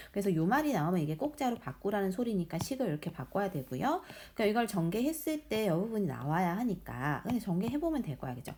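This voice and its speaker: A woman speaks with very wide pitch swings and a somewhat breathy quality. The recording is very clean, with a silent background. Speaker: math teacher. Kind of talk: tutorial. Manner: fast.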